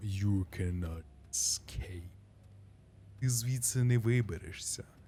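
Putting on a character voice, a man speaks fairly slowly at a fairly low pitch. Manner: serious, menacing.

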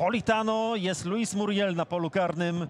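Over noticeable background noise, a man speaks in an animated tone at a moderate pace. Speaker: football commentator. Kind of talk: live football commentary. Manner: animated, announcing goals emphatically.

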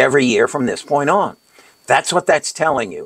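A man's fairly high voice carries lively intonation and vocal fry. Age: 80s+. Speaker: retired financial advisor and investing channel host. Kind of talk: tutorial. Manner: halting, stumbling over words. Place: home room.

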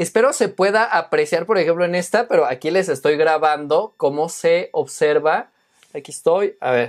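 A high-pitched man with a Mexican accent at a moderate pace, against a quiet background. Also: ordinary pitch variation. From Mexico. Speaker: teacher and YouTuber reviewing tech; tech reviewer. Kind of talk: unboxing review video. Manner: casual, halting with fillers. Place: home room. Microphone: lapel.

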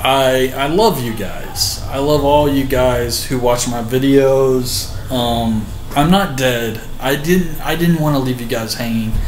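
A man speaks at a very slow pace with ordinary pitch variation, with audible room echo and light background noise. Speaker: vlogger. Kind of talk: casual vlog chat. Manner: drunk, loose and sentimental speech. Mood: warm, a bit sheepish. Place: home room. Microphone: webcam.

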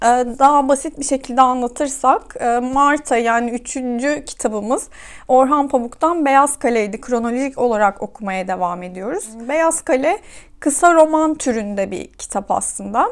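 Here a woman talks at a high pitch with lively intonation and a moderate pace. The recording is very clean, the background silent. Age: 30s. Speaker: book vlogger. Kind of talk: casual monologue to camera. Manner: hesitant fillers.

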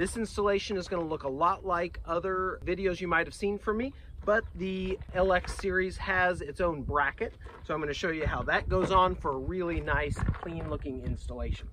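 A man at a moderate pace, dry sound with no echo, noticeable background noise behind him. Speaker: small business owner demonstrating a product. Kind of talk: product tutorial. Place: open country.

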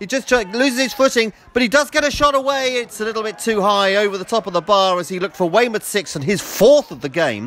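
Talking at a very fast pace with hardly any pauses, a man uses a high, energetic voice and lively intonation against noticeable background noise. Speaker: football commentator. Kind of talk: live football match commentary, with a brisk play-by-play. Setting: outdoors at the ground on a cold afternoon. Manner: fast, clipped and energetic, naming players as they touch the ball; rises in excitement at the goals, with a dry, wry tone at the hat-trick and final score.

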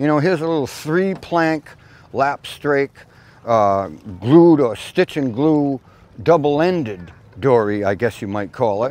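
An enthusiastic man with a fairly high pitch and lively intonation takes long, frequent pauses, in a dry sound with no echo. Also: fairly slow pace. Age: 60s. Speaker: shipwright and boatbuilding channel host. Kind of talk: casual guided tour commentary. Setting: outdoors at a boat show. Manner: enthusiastic, frequent fillers like uh and you know. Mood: relaxed, cheerful. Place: waterside. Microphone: lapel.

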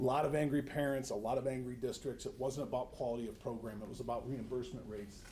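A man at a medium pitch with an American accent, talking at a very fast pace through noticeable background noise and audible room echo. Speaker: regional education administrator presenting to school board. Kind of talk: formal presentation at board meeting. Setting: school board meeting room. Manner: animated.

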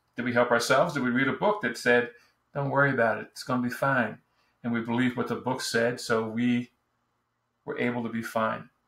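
A man with an American accent speaks at a fairly quick pace in a medium pitch, his tone bright and sharp and his intonation fairly even, with audible room echo. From New Jersey. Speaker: business storytelling coach; presenter or coach. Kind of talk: online course video lesson. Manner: casual, with frequent fillers. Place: home room. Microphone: webcam.

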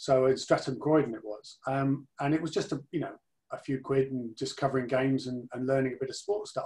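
A man talks at a fairly quick pace, his voice somewhat breathy. His pitch varies in an ordinary way against a quiet background. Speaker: interview guest. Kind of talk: interview answer. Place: home room. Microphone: video call.

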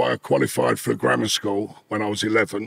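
Against a quiet background, a man with a fairly low pitch speaks with vocal fry. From East London, England. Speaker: former smuggler and ex-convict. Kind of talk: interview storytelling. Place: home room. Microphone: studio mic.

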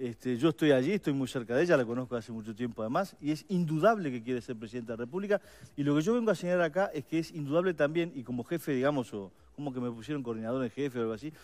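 A man talks at a very fast pace with lively intonation. His pitch is fairly high. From Uruguay. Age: 50s. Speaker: political adviser, campaign policy coordinator; guest. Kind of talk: radio/TV panel interview. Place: studio.

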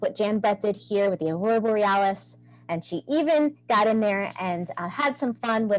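Natural-voiced reading aloud full of lively intonation

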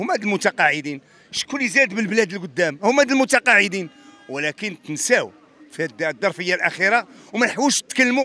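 Over background music, a man talks in a raised, projected voice at a fairly quick pace. His intonation is lively, and the sound is dry with no echo. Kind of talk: interview answer. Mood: indignant complaint. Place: street. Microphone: handheld.

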